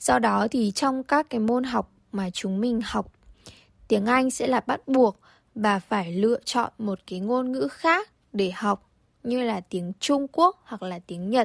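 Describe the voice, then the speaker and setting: The woman's fairly high pitch moves with lively intonation at a very slow pace. The sound is dry and close, with no echo. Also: very clean recording, silent background. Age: 20s. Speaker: airline tourism graduate, former airline intern. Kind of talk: radio interview.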